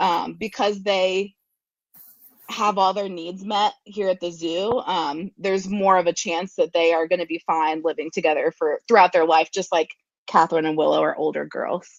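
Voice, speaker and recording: A woman talks with a US Midwestern accent at a moderate pace. Her pitch is medium and her intonation fairly even. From Ohio, Columbus area. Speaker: zookeeper and animal educator. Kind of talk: interview. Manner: many filler ums.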